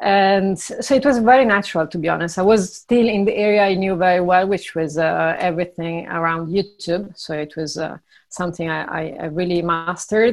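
Hardly pausing, a woman of medium pitch talks at a fairly quick pace with ordinary pitch variation. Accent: Italian. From Italy. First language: Italian. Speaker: startup founder and CEO. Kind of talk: interview. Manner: hesitant, with fillers.

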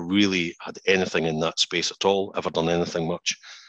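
A man with a Scottish accent talks at a fairly quick pace in a very deep, low pitch, his bright, sharp tone flat and monotone, recorded dry and close with no echo against a quiet background. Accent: Scottish (Edinburgh area). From Scotland, Musselburgh near Edinburgh. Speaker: financial industry chief executive. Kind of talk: interview. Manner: hesitant, many fillers and repeats.

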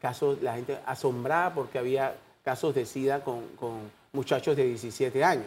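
A man at a medium pitch with ordinary pitch variation and a fairly slow pace, on a very clean recording with a silent background. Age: 60s. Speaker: doctor and HIV foundation president. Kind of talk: TV interview. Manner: halting.

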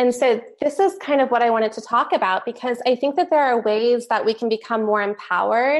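A woman with an American accent talks at a fairly quick pace in a plain, everyday voice, fairly high in pitch with ordinary pitch variation, over a quiet background. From Texas (Katy, near Houston). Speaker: film producer and actress. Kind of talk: interview.

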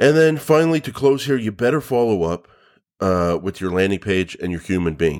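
In a very clean recording with a silent background, a man talks at a moderate pace in a fairly low pitch that takes very wide swings. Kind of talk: pitchman-style sample ad copy, brainstormed aloud. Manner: punchy, urgent, salesy call-to-action; casual, filler-heavy, improvising.

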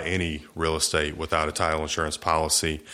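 With an American accent, a man speaks in a bright, sharp tone on a very clean recording with a silent background. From US South, Eastern Shore of Virginia. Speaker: real estate attorney. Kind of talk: interview.

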